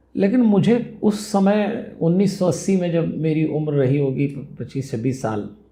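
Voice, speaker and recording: In a dark, mellow tone with very wide pitch swings, the speaker goes on with hardly any pauses, and audible room echo surrounds the voice. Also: man, high pitch for a man. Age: 60s. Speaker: spiritual speaker and life management guru. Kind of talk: interview.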